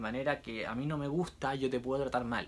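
A man with a Chilean accent, fairly high in pitch. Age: 20s. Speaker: musician and social media creator. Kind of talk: casual vlog monologue. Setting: on a cruise ship. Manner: intense, nonstop talking.

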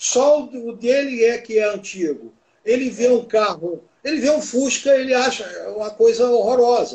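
Pitched extremely high for a man, his voice shows ordinary pitch variation. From Rio de Janeiro, Brazil. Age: 70s. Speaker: classic car federation technical director. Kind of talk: casual interview.

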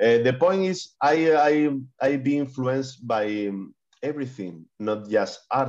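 Using lively intonation, a man with a Spanish accent speaks at a medium pitch and a very slow pace. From Spain. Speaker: digital artist. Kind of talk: interview. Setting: video call. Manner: halting.

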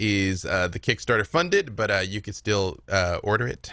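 A man with an American accent and a fairly low pitch speaks with ordinary pitch variation in a very clean recording with a silent background. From US South, Little Rock, Arkansas. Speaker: filmmaker and writer. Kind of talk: casual chat. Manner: animated.

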